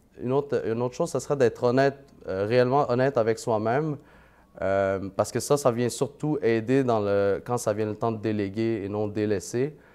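Over a quiet background, a man talks at a fairly quick pace and medium pitch with ordinary pitch variation and a dark, mellow tone. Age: 20s. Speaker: part-time real estate investor and banker. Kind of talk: casual interview.

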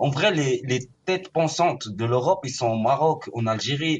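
Over background music, someone talks at a very fast clip with lively, bouncing intonation. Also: man. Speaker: caller.

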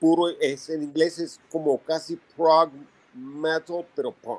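Very slow delivery from a man with a fairly high pitch. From Venezuela. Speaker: punk rock musician. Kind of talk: interview.

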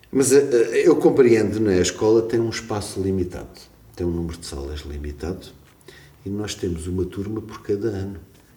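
Over noticeable background noise and audible room echo, a man with a fairly low pitch talks at a moderate pace, his intonation lively and his loudness swinging widely. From Portugal, Algarve (Portimão). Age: 50s. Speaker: music teacher and composer. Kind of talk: casual interview. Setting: school.

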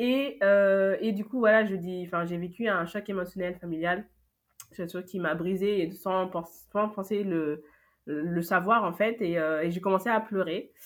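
A woman with a plain, everyday voice speaks at a medium pitch and a fairly slow pace with fairly even intonation. The recording is very clean, with a silent background. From France, Paris. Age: 20s. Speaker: event agency founder. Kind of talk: interview testimony.

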